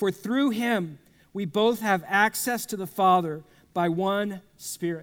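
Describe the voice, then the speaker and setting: A man with a Texan accent, high in pitch, with ordinary pitch variation at a fairly slow pace, in a very clean recording with a silent background. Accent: Texan American. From South Texas. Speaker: pastor. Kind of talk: sermon. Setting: church with congregation.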